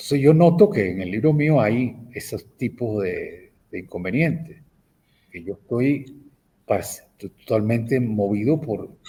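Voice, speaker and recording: A man at medium pitch has a dark, mellow tone and is somewhat breathy. His intonation is lively, and his loudness swings widely. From Venezuela. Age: 70s. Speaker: professor and writer. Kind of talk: interview. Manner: halting, frequent repetitions.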